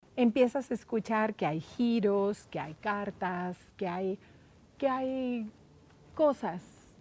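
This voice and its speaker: At a very slow pace, the voice carries a dark, mellow tone with ordinary pitch variation. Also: woman. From Mexico, Mexicali (Baja California). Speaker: daughter of Spanish exile. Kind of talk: documentary interview testimony.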